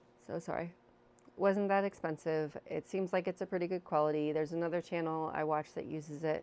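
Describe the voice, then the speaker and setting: A soft-spoken woman with a fairly low voice, a fairly quick pace and monotone, flat intonation. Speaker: video blogger. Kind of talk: casual chat. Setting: home living room. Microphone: new mic.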